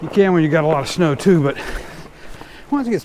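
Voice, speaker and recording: Someone speaks at a very fast pace amid noticeable background noise. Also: man. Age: 60s. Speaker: fat bike vlogger. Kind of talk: casual vlog narration while riding. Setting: outdoors on snowy bike trail.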